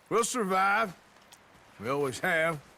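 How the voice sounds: A man does a put-on character voice pitched high, with a bright, sharp tone and vocal fry. He goes at a slow pace, his intonation lively.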